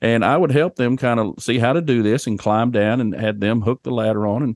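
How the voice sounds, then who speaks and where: A man with an American accent at a medium pitch, dry and close with no echo, over a quiet background. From Oklahoma. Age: 50s. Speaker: financial and estate planning adviser, podcast co-host. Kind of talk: casual chat.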